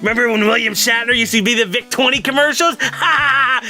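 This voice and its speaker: A man in a put-on character voice with a playful tone, clear music in the background. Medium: comedy sketch. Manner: taunting, playful.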